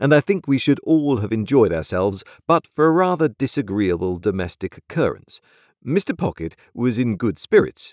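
Someone reads aloud in a natural voice with a quiet background.

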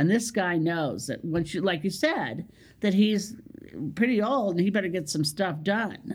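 On a very clean recording with a silent background, a woman at a medium pitch talks at a fairly slow pace with lively intonation. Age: 60s. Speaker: comedian. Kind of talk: casual interview chat. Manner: lowers register on stage.

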